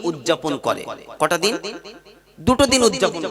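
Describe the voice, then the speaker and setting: A man's voice over noticeable background noise. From North 24 Parganas, West Bengal, India. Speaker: Islamic preacher (waz speaker). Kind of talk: Islamic sermon at a public gathering. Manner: call-and-response, rhetorical questions to the audience.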